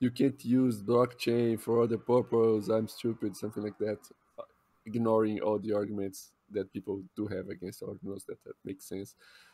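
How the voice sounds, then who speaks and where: Speaking with a strong Brazilian accent, a man uses a dark, mellow tone, fairly even intonation and a moderate pace. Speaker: podcast co-host. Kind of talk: casual chat.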